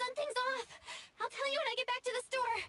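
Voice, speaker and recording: A squeaky, put-on character voice at an extremely high pitch, very fast pace and monotone, flat intonation. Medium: video game. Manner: dry, grumbling.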